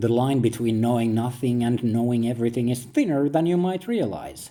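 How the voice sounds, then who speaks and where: In a very clean recording with a silent background, a man speaks at a medium pitch with a dark, mellow tone. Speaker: philosophical essayist. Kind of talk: reflective monologue, like reading own book.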